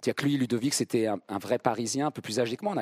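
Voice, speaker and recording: On a very clean recording with a silent background and a dry, close sound with no echo, a man talks at a fairly quick pace at medium pitch with ordinary pitch variation, in an ordinary speaking voice. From central France (Vierzon). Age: 50s. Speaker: stage actor. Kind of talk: public masterclass conversation. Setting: theatre stage with live audience.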